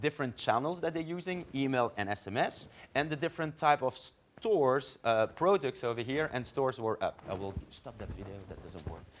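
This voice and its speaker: A man talks at a fairly quick pace with a medium pitch, very wide pitch swings and vocal fry. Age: 40s. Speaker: marketing executive. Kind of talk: conference talk. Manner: fast.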